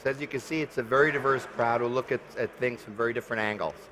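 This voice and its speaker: Lively intonation marks a man speaking at a medium pitch over noticeable background noise. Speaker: panel moderator. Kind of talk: moderated panel discussion. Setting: conference stage with live audience. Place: stage.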